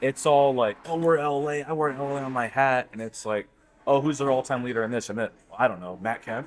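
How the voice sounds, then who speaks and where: A man's normal speaking voice with an American accent, medium in pitch, fairly quick in pace, and with ordinary pitch variation. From Southern California. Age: 30s. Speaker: baseball fan panelist. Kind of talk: casual chat. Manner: casual, filler-heavy.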